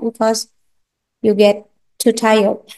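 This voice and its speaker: A woman speaks with an Indonesian accent. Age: 40s. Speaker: university lecturer. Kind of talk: lecture. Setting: classroom. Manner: slow; halting.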